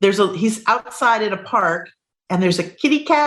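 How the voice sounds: Intonation is lively in a natural reading voice, set against quiet surroundings.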